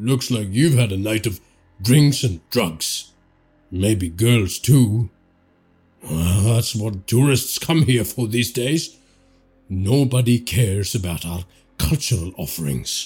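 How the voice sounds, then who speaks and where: A man in a put-on character voice at a medium pitch, fairly slow with long, frequent pauses, music in the background. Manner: gruff, fearful, scolding.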